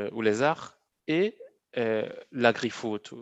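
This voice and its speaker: Here a man is speaking. His pitch sits in the medium range. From Cameroon (Bafoussam, Central Africa). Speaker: agricultural education entrepreneur. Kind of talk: interview. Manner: halting, repeats words.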